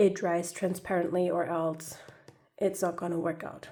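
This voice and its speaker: A woman's dark, mellow voice at a fairly slow pace. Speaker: clay craft youtuber. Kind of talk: tutorial. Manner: casual, chatty.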